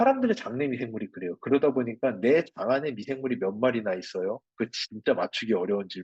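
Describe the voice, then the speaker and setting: Speaking at a fairly quick pace, a man sounds somewhat breathy. His pitch swings very widely. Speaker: microbiome researcher lecturing on products. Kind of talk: lecture with live chat Q&A. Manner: conversational with fillers.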